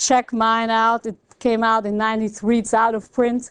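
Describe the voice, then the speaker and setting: A woman with a French accent speaks in a fairly high pitch. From Belgium. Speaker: economics professor. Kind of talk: lecture.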